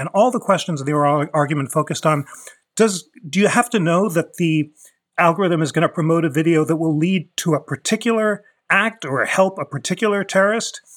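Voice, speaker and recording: In a very clean recording with a silent background, a man with a high voice talks at a fairly quick pace. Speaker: constitutional law expert. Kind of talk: expert interview discussion.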